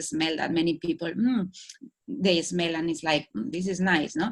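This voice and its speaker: Fairly low-pitched speech from a woman with a Spanish accent and ordinary pitch variation. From Spain. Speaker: holistic wellbeing coach. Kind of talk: talk. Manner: halting.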